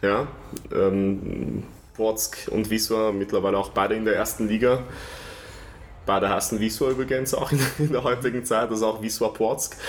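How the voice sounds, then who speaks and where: A man's medium-pitched voice at a moderate pace, with fairly even intonation, very even loudness, long and frequent pauses, and noticeable background noise. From Vienna, Austria. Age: 30s. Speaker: stadium announcer. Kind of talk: interview.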